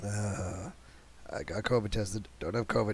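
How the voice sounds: In a put-on character voice, a man sounds raspy and hoarse, fairly low in pitch with ordinary variation, at a fairly slow pace.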